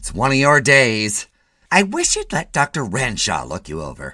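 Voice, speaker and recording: Using a put-on character voice, a man of medium pitch talks at a moderate pace, his loudness swinging widely. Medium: read story. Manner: scolding, nagging.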